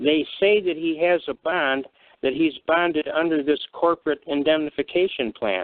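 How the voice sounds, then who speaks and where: This man has an unremarkable speaking voice, fairly high in pitch and at a moderate pace. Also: ordinary pitch variation. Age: 60s. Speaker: constitutional law speaker. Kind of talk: call-in radio discussion.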